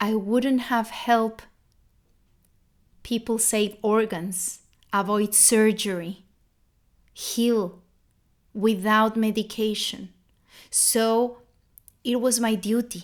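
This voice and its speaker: Very slowly and with long, frequent pauses, a woman with a non-native accent speaks at a fairly high pitch in a monotone, flat intonation on a very clean recording with a silent background. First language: not English. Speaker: holistic health coach. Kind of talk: live motivational talk. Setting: livestream. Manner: halting, repeats words.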